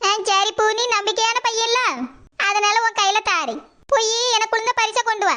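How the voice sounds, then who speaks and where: A woman's cartoonish character voice at an extremely high pitch, with fairly even intonation, very even loudness and a moderate pace. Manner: boastful, self-satisfied.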